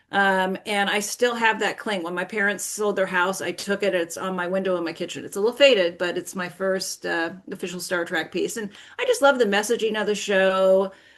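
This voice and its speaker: A woman with an ordinary speaking voice talks at medium pitch and a fairly quick pace. Her intonation is fairly even, with hardly any pauses. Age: 60s. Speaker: toy merchandising professional. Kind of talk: casual interview chat.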